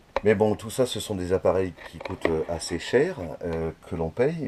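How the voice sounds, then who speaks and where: A man with a very deep, low voice and lively intonation, at a fairly slow pace, over noticeable background noise. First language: Dutch (speaking French). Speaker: hobbyist metalworker. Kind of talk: video complaint monologue. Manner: hesitant, many fillers.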